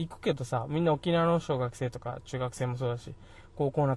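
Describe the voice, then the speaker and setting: In a dark, mellow tone that is somewhat breathy, a man talks at a fairly quick pace with ordinary pitch variation. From Okinawa, Japan. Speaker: podcast host. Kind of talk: casual chat. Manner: casual, conversational.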